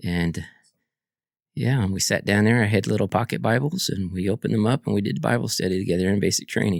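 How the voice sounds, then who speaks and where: A man speaks at a very fast pace in a fairly low voice. Vocal fry runs through his speech. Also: ordinary pitch variation. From Guam and Kentucky (Fort Knox). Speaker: army veteran. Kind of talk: interview conversation.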